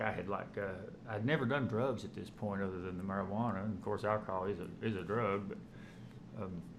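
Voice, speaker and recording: Audible room echo is present. The pitch varies in an ordinary way. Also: man. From eastern Kentucky (Hazard), Appalachia. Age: 40s. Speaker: former police officer in addiction recovery. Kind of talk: personal testimony. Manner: halting, with frequent fillers and restarts.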